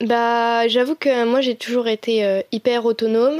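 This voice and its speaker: A woman's fairly high voice in a very clean recording with a silent background, dry and close with no echo. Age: 20s. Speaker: design student. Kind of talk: personal testimony interview. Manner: hesitant, many fillers.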